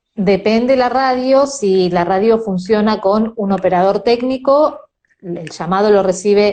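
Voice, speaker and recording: Speaking at a fairly slow pace in a Rioplatense accent, a woman has a medium pitch, ordinary pitch variation and a dark, mellow tone. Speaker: radio host (locutora de radio). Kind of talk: interview answer, casual conversational talk about her profession.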